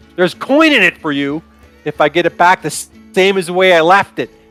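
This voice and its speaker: Over faint music in the background, a man growls in a high put-on character voice at a fairly quick pace. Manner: growling, secretive.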